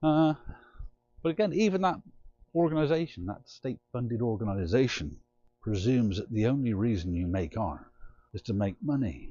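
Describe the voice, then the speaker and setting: A man with an English accent, medium-pitched, at a moderate pace, with very wide pitch swings and long, frequent pauses. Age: 60s. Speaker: artist. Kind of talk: casual vlog monologue.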